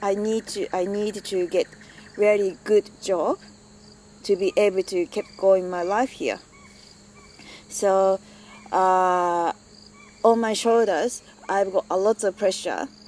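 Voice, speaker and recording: Speaking very slowly with long, frequent pauses, a woman with a Japanese accent is heard dry and close with no echo. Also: medium pitch for a woman, fairly even intonation. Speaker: migrant interviewee. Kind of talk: personal testimony. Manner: halting.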